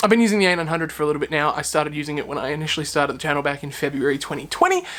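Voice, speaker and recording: Someone with an American accent talks at a very fast pace. Noticeable background noise runs underneath. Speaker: tech youtuber. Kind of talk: product review vlog. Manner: casual, filler-heavy. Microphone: testing built-in camera mic vs external mic.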